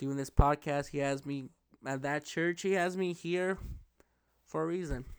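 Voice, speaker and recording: Recorded very cleanly against a silent background, a man with a fairly high pitch speaks at a moderate pace with fairly even intonation. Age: 20s. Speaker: podcast host and electrician. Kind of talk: testimony. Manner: halting.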